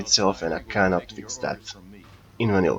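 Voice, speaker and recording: A man with a non-native accent and fairly low pitch, over noticeable background noise. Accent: non-native English speaker. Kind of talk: casual gameplay commentary. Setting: cheap home microphone.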